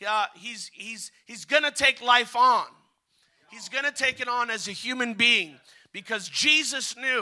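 A man speaks in a raised, projected voice at an extremely high pitch, with a bright, sharp tone, a fairly slow pace and ordinary pitch variation. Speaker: visiting preacher. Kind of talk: revival sermon, preacher in full flow. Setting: church with congregation. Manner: animated, fervent, urging the congregation to respond; exhorting, rhythmic, call-and-response.

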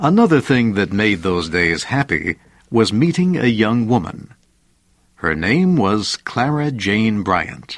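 A man speaks at a medium pitch and a very slow pace, his pitch swinging very widely against a quiet background. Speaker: narrator. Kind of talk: vintage educational biography narration, scripted. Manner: slow, clear, measured; formal, even, simplified vocabulary.

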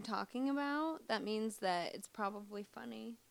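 The speaker has a slight Midwestern accent. The intonation is lively. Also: woman. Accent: slight Midwestern American. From US Midwest, Missouri. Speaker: comedian. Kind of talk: casual interview chat.

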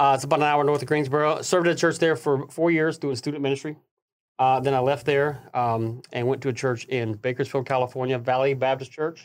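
With a Southern US accent, a fairly high-voiced man speaks with fairly even intonation on a very clean recording with a silent background. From US South, Tennessee and northern Alabama. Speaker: pastor. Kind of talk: casual interview chat.

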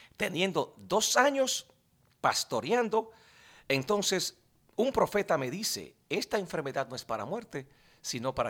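On a very clean recording with a silent background, a man with vocal fry talks at a moderate pace with very wide pitch swings. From Dominican Republic. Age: 40s. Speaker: pastor. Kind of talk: interview testimony.

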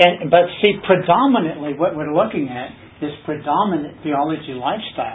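A man with an ordinary speaking voice, fairly high in pitch, at a moderate pace with ordinary pitch variation. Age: 60s. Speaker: Bible study teacher. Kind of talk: Bible study teaching.

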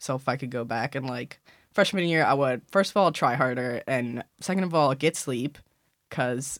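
An American accent on a very clean recording with a silent background. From Illinois, Chicago. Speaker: graduating college senior. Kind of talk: casual chat.

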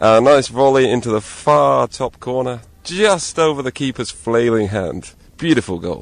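A man with an English accent speaks at a moderate pace. His medium-pitched voice has lively intonation. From England. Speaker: amateur footballer. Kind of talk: street interview.

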